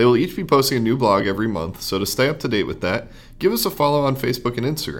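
Lively intonation runs through this man's medium-pitched voice. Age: 20s. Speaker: podcast host. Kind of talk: read announcements; interview.

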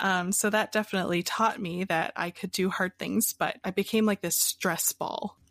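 In an American accent, a woman uses a normal speaking voice at medium pitch and a moderate pace, with fairly even intonation, hardly any pauses, and a dry, close sound with no echo. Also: very clean recording, silent background. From Pennsylvania, US. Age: 20s. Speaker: coffee business founder. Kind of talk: interview.

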